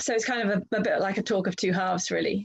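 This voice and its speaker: This woman's voice has ordinary pitch variation. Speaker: speaker. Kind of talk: online talk / presentation. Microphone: video call.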